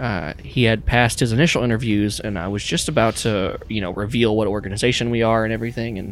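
Here is an unforced reading voice. It reads without strain.

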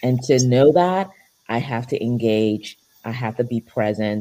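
A woman speaks with a very deep, low pitch and a dark, mellow tone. The recording is very clean, with a silent background. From Nigeria and Europe. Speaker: family physician. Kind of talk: panel discussion.

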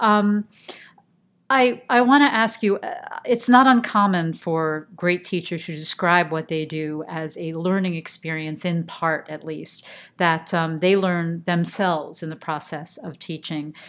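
A woman's plain, everyday voice, fairly low in pitch with ordinary pitch variation, at a fairly slow pace with big swings in loudness, on a very clean recording with a silent background. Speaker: podcast host. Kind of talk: interview.

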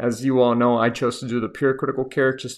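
Over a quiet background, a man speaks at a medium pitch. His pace is moderate, with a slight Miami accent. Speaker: intensive care physician. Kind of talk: educational podcast monologue, casual advice. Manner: casual, conversational, humorous.

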